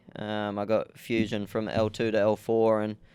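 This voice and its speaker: In a rural Australian accent, a man with a fairly low voice speaks on a very clean recording with a silent background. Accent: country Australian twang. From Australia, rural New South Wales (Young, Southwest Slopes). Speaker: jockey. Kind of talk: interview.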